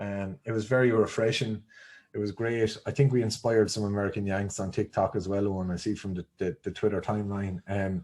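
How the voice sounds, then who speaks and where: Here a man speaks with an Irish accent at a fairly quick pace. His pitch is fairly low, and his intonation stays fairly even. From Ireland. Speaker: podcast host. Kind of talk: casual chat. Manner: halting.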